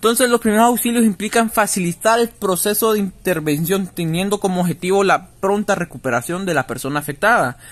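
This man speaks at a fairly quick pace with hardly any pauses, his high-pitched voice carrying lively intonation. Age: 20s. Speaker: physical education student. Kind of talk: student podcast presentation. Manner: halting, with many fillers.

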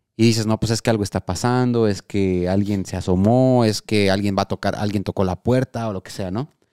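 Fairly low and dark, mellow in tone, a man's voice moves at a fairly quick pace with hardly any pauses and fairly even intonation. The recording is very clean with a silent background, dry and close with no echo. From Morelia, Mexico. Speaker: podcast host. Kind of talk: casual chat podcast, live stream.

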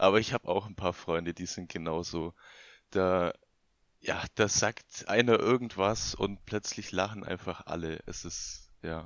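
Using an ordinary speaking voice, a man talks fairly low in pitch at a fairly slow pace with fairly even intonation. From Bavarian Swabia, near Augsburg. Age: 20s. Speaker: podcast guest. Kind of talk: casual chat.

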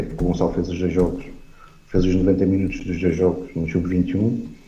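Very deep, low-pitched male voice, monotone and flat, at a fairly quick pace with audible room echo. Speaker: football commentator. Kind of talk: casual chat. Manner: hesitant, many filler sounds.

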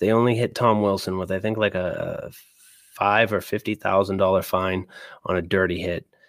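An ordinary speaking voice with an American accent keeps a fairly even intonation. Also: man. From Boston area, US. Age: 30s. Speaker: sports podcast host. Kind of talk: casual sports talk. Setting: live stream.

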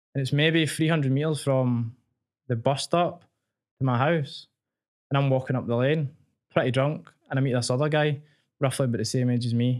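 A man's medium-pitched voice with a Glaswegian accent, fairly even intonation and a fairly quick pace, on a very clean recording with a silent background. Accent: Glaswegian Scottish. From Glasgow, Scotland. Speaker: medical student and personal trainer. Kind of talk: casual interview, telling personal story.

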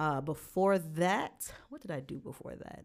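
In a Brooklyn accent, a woman speaks at a fairly slow pace with a very deep, low pitch, in a very clean recording with a silent background. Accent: New York (Brooklyn). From Brooklyn, New York. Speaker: podcast co-host, youth justice worker. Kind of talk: casual chat.

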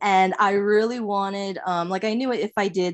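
A woman with an unremarkable speaking voice and an American accent talks at medium pitch and a fairly slow pace with fairly even intonation against a quiet background. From US, Long Island, New York. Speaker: illustrator. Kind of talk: casual interview.

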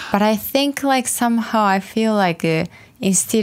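Speaking at a fairly slow pace, a woman talks with a Japanese accent. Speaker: Japanese language co-host. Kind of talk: casual educational chat. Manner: hesitant, many fillers.

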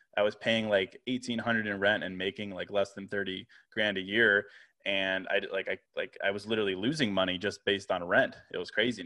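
With an American accent, a man speaks in a normal speaking voice at a fairly low pitch, keeping a fairly quick pace and fairly even intonation. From Virginia, US. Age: 30s. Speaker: podcaster and writer. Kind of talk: casual interview.

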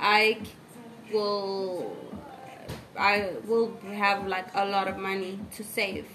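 Very slow and flat in a monotone, a woman's speech comes with long, frequent pauses, audible room echo and noticeable background noise. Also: medium pitch for a woman. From South Africa, KwaZulu-Natal (Pietermaritzburg). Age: 20s. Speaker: art and English teacher. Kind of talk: casual chat.

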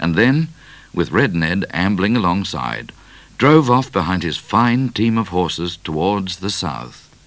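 Read aloud plainly, the lines carry lively intonation.

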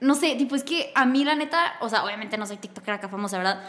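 Here is a woman speaking. Her tone is bright and sharp. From northern Mexico, Torreón. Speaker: podcast host. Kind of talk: casual chat. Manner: animated.

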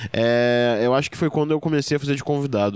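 Words pour out of this man very fast. His intonation rises and falls an ordinary amount. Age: 20s. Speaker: stand-up comedian. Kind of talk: casual interview chat.

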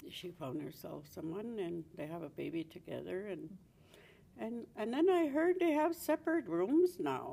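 A woman with a Canadian accent speaks with big swings in loudness. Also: moderate pace. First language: Cree. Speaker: Cree elder. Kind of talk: casual chat.

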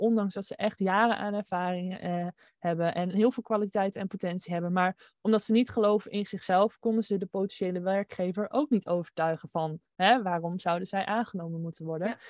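In a dry, close sound with no echo, a woman with an unremarkable speaking voice talks at medium pitch and a moderate pace, with fairly even intonation. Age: 20s. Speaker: designer and entrepreneur. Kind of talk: interview. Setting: video call.

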